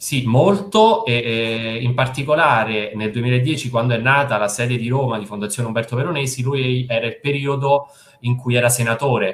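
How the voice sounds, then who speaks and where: Here a man speaks with fairly even intonation. His pace is moderate. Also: medium pitch for a man. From central Italy, province of Frosinone (Lazio). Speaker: fundraising and marketing manager at a charity. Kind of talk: video call interview. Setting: video call from home. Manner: calm.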